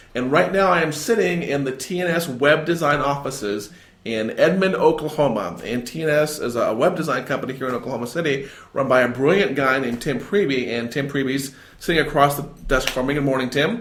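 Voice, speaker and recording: A man with a fairly high voice talks at a fairly quick pace with lively intonation, and the room gives an audible echo. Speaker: podcast host. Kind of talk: podcast interview. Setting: guest's office.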